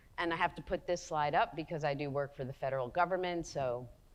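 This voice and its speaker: In a New Jersey accent, a woman speaks with ordinary pitch variation. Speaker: psychologist and researcher. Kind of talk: lecture.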